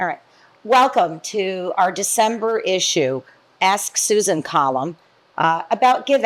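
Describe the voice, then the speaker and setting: A woman's unremarkable speaking voice at medium pitch, lively in intonation and fairly slow, on a very clean recording with a silent background. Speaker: interviewer, column host. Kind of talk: interview questions.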